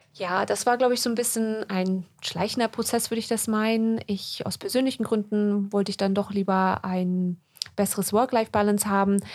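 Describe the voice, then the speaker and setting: A woman has a normal speaking voice, a medium pitch, fairly even intonation and a moderate pace. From Germany, then UK from childhood. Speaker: podcast co-host, doctor. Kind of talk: casual chat. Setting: studio.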